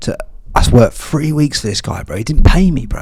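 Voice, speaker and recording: Noticeable background noise accompanies a man speaking with an English accent. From England. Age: 30s. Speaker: podcast host. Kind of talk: casual chat. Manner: animated.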